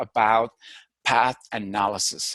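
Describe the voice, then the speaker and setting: Speaking at a fairly slow pace over a quiet background, a man has a Filipino accent. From Philippines. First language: Filipino language. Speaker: university lecturer. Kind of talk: lecture.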